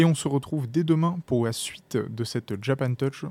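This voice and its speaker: A soft-spoken man with a dark, mellow tone, ordinary pitch variation and a moderate pace. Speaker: podcast host. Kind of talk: interview. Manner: soft, calm podcast voice.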